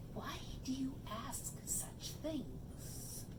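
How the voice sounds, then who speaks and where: A woman's whispered, put-on character voice over loud background noise. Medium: read story. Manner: sly, wheedling.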